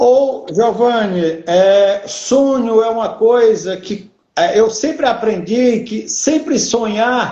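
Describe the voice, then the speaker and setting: Audible room echo surrounds a man speaking very slowly at an extremely high pitch with ordinary pitch variation. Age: 60s. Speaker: entrepreneur. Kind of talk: interview.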